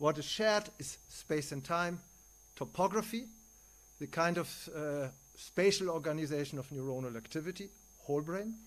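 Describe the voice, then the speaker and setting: Speaking with a German accent at a moderate pace, a man with a fairly high pitch uses lively intonation, big swings in loudness, and long, frequent pauses. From Germany. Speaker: neuroscientist and philosopher. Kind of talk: conference lecture.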